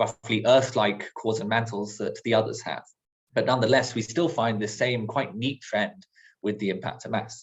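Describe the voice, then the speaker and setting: A man speaks with a somewhat breathy voice. His intonation is lively. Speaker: planetary science researcher. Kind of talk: lecture. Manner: fast.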